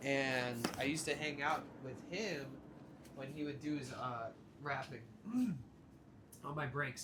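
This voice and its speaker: Audible room echo follows a man speaking at a medium pitch. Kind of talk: casual chat. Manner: loud.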